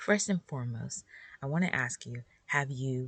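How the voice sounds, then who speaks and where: A woman's very deep, low, somewhat breathy voice at a fairly slow pace, with lively intonation. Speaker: podcast host for homeschool moms. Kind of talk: casual solo podcast talk. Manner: relaxed.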